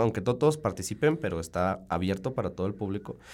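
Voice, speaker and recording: A man with a fairly low voice talks very fast. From Mexico, Salamanca (Guanajuato). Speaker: chemical engineering student, student council member. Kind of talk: radio interview. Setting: radio studio.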